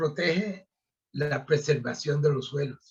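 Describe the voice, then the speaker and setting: Speaking very slowly, a man takes his time with each word. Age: 70s. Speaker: retired agronomist. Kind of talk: interview. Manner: halting.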